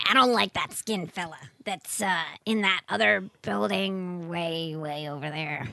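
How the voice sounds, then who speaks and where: A female-sounding put-on character voice, fairly low in pitch, at a fairly slow pace. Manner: blunt, bossy.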